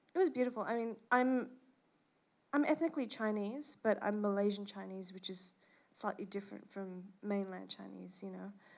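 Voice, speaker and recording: Speaking with an Australian accent at a moderate pace, a woman of medium pitch shows ordinary pitch variation and big swings in loudness. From Australia (Perth, Western Australia). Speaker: jazz bassist and composer. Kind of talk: interview. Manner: many fillers (um).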